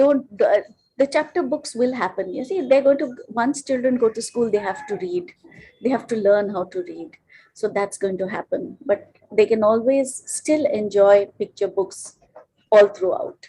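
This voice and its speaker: A woman speaks with an Indian accent. Her tone is dark and mellow. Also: fairly high pitch for a woman, lively intonation, moderate pace. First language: Konkani. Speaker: children's author and illustrator. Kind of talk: podcast interview.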